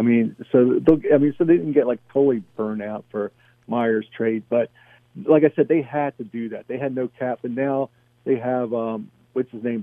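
Using an ordinary speaking voice, a man talks at a moderate pace and medium pitch with ordinary pitch variation. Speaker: caller. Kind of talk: casual chat. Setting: phone call.

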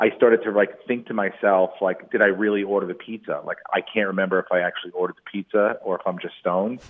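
Barely pausing at all, a man rushes through his words at a very fast pace. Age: 40s. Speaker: comedian. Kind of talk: casual interview chat, telling stand-up anecdotes.

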